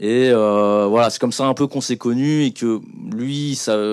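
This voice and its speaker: The intonation stays fairly even. Behind the voice, the background is quiet. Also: man. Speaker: music video director; guest. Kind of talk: panel talk. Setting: stage with audience. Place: hall. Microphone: handheld.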